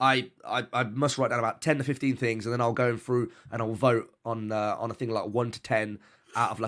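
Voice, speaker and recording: With a British accent, a man speaks at medium pitch in fairly even intonation and with hardly any pauses. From UK. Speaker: streamer. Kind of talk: casual interview chat.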